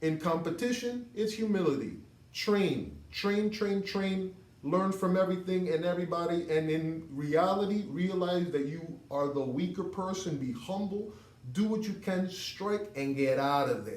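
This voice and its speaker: A loud man with high pitch and ordinary pitch variation speaks at a fairly slow pace through audible room echo and noticeable background noise. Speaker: martial arts instructor. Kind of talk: tutorial.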